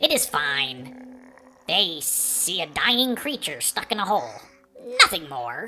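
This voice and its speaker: Over faint music in the background, a put-on character voice at a middle pitch talks at a fairly slow pace with long, frequent pauses. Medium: read story. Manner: composed, articulate, slightly prim.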